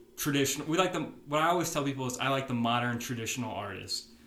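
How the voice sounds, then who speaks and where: Very fast American-accented speech from a man, with noticeable background noise behind it. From Nebraska, Omaha. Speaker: podcast host, country music fan. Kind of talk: casual chat.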